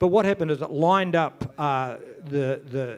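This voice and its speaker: This man has a fairly high voice and a New Zealand accent. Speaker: event organiser. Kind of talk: conference talk. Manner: halting, stammering.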